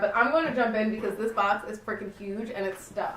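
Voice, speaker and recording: Amid noticeable background noise and audible room echo, a woman with a fairly high pitch speaks very fast. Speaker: beauty youtuber. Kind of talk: casual haul video. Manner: animated.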